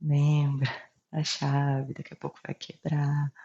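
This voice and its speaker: In a very deep, low pitch, a woman speaks at a fairly slow pace with monotone, flat intonation and a somewhat breathy voice. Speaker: video blogger sharing personal health story. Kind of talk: personal testimony to camera. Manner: hesitant with filler pauses.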